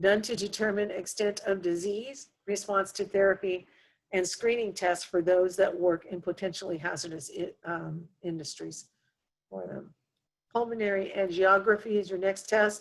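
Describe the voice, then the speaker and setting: Here is a woman with a plain, everyday voice, medium in pitch. She keeps a moderate pace and a fairly even intonation. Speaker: nursing instructor. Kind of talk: lecture. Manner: frequent fillers.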